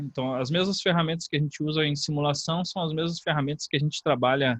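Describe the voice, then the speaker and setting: The man's pitch sits fairly high. He keeps his intonation fairly level. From Brazil, not Rio de Janeiro. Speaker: university course coordinator, professor. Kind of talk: online information session talk. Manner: hesitant, with fillers.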